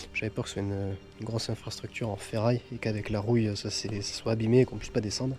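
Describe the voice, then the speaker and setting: A man's dark, mellow, somewhat breathy voice, fairly low and monotone, with flat intonation at a very fast pace. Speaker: urban explorer vlogger. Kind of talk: exploration vlog commentary. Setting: underground tunnel. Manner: whispering; casual, exclamatory.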